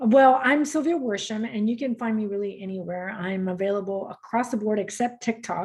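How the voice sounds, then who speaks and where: A woman's somewhat breathy, fairly high voice in a Spanish accent, at a moderate pace. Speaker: motivational speaker and coach. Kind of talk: podcast interview.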